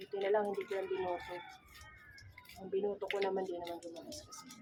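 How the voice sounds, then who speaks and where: A soft-spoken woman talks at a very fast pace over noticeable background noise. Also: medium pitch for a woman, ordinary pitch variation, big swings in loudness. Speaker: cooking vlogger. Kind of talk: casual cooking vlog. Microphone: no microphone, voice quiet.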